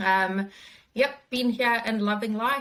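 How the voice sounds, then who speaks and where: A woman's fairly high-pitched voice with a slight South African accent. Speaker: wellbeing consultant and business founder. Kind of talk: interview.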